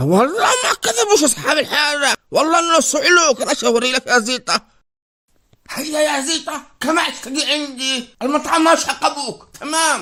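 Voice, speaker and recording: Using a cartoonish character voice, a man speaks at an extremely high pitch. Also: moderate pace. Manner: animated, teasing.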